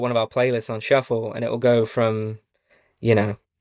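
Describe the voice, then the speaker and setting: A man's medium-pitched voice with an English accent, in a very clean, dry, close recording with a silent background and no echo. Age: 20s. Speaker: country musician. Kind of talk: casual chat.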